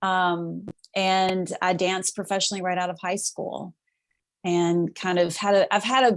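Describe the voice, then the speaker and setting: In a Southern US accent, a woman speaks at a moderate pace with a fairly low pitch. Her intonation is fairly even, and the sound is dry and close with no echo. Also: very clean recording, silent background. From US South, Mississippi near Memphis. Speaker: actress and writer. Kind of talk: podcast interview.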